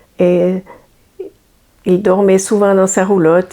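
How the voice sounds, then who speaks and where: Monotone and flat in intonation, a woman speaks at a fairly slow pace. Her medium-pitched voice has a dark, mellow tone. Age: old. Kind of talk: interview answer. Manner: hesitant.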